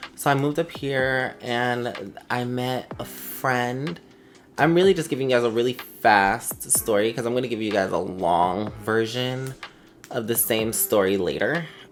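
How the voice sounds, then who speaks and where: With music in the background, a woman speaks at a very deep, low pitch with ordinary pitch variation. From South Florida. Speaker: YouTuber. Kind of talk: personal vlog, coming-out story. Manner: halting, many fillers.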